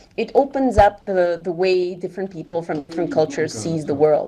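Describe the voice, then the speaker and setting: A woman with a non-native accent and very wide pitch swings, noticeable background noise behind her. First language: not English. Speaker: event organizer in a VR discussion. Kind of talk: casual group discussion. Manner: halting, with many fillers.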